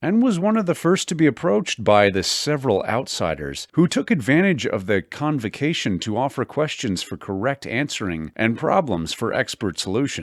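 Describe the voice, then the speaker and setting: The voice has vocal fry and very wide pitch swings at a moderate pace. The recording is very clean, with a silent background. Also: man. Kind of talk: audiobook horror narration.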